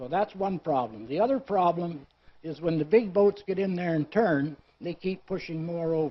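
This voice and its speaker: Speaking at a moderate pace with a Canadian accent, a man uses a high pitch and ordinary pitch variation. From Ontario, Canada (Oshawa). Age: 70s. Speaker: local resident delegate. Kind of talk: public delegation to a council committee.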